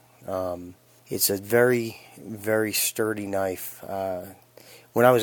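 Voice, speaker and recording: The speaker is a man with a fairly low pitch. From Phoenix, Arizona. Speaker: knife reviewer. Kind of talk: recorded product review. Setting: sent-in recording.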